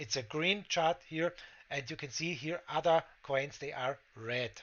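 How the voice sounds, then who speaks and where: Speaking at a fairly slow pace with a German accent, a man uses a fairly high pitch and ordinary pitch variation. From Austria. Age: 40s. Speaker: crypto trading streamer. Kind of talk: tutorial. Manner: halting, many fillers.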